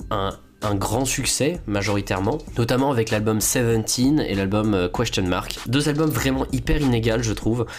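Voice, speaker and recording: At a moderate pace and medium pitch, a man speaks with very even loudness over noticeable background noise. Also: lively intonation. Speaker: YouTuber. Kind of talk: video commentary. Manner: hesitant, many fillers.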